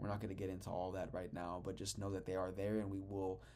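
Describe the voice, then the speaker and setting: With audible room echo behind him, a man speaks in a very deep, low voice with a dark, mellow tone. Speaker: spiritual teacher. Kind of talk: lecture. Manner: fast; animated.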